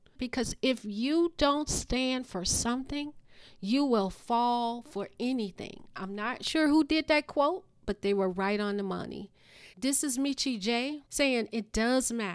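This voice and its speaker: This woman sounds animated, her pitch high. Her intonation is lively and her pace fairly slow. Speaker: podcast host. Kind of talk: monologue rant on current events, urgent and preachy. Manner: emphatic, urgent, animated; repeats key words for emphasis, preachy.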